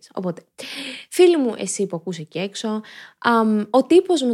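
In a very clean recording with a silent background, a woman with a fairly high pitch talks at a fairly slow pace in an animated tone, her pitch swinging very widely. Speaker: podcast host. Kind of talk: casual monologue podcast. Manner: clear articulation.

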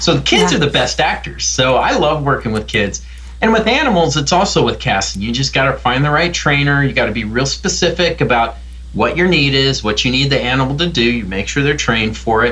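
A man speaks with an American accent at very even loudness. Audible echo fills the room around him. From US Midwest. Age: middle-aged. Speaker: film director and professor. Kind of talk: interview.

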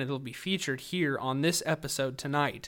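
The recording is very clean, with a silent background. A man with an ordinary speaking voice talks at a moderate pace with ordinary pitch variation. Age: 20s. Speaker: podcast host and army veteran. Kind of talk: casual chat. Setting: makeshift home studio.

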